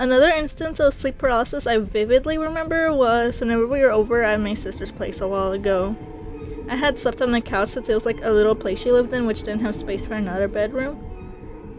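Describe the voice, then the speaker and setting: Music plays in the background as a woman speaks. Her pitch is fairly high and her pace is very fast. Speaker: hobby artist. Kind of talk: casual storytime talk. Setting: phone microphone. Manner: hesitant, stumbling.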